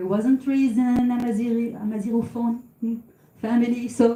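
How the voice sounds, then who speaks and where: In a Tunisian accent, a woman speaks at a high pitch and a fairly slow pace. Her tone is dark and mellow. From Tunisia, Sfax. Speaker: singer and psychologist. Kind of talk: talk to audience.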